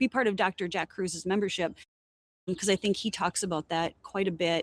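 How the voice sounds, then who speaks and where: Recorded with a dry, close sound and no echo, an unremarkable speaking voice moves at a fairly quick pace with fairly even intonation. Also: woman, medium pitch for a woman. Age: 50s. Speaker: educator and company co-founder. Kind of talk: casual chat.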